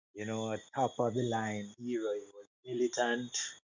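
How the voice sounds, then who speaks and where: A man's flat, monotone voice at medium pitch, delivered at a fairly slow pace. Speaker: discussion participant. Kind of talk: group discussion. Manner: quiet.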